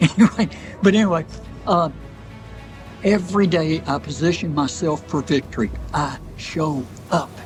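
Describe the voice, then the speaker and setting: Music plays behind a man with a fairly high pitch who speaks at a moderate pace with ordinary pitch variation and long, frequent pauses. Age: 80s+. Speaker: ultramarathon runner; war veteran. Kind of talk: motivational interview answer. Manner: fervent, preacher-like.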